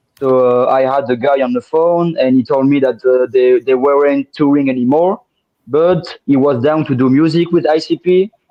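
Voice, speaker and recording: Moderate pace, ordinary pitch variation and very even loudness, in a strong French accent. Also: man, fairly high pitch for a man. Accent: thick French. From France. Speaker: podcast guest, music fan. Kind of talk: casual interview chat. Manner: halting, many fillers and repeats.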